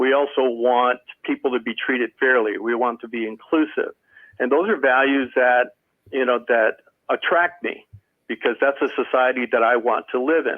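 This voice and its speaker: A man with an American accent talks at a moderate pace in a plain, everyday voice. His pitch is medium, and his intonation stays fairly even. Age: 60s. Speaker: service club member. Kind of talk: panel discussion.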